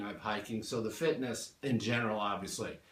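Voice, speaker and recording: A man with an American accent at a medium pitch, ordinary pitch variation, audible room echo and noticeable background noise. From California. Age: 60s. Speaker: retired business owner, fitness client. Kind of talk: interview. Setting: home gym.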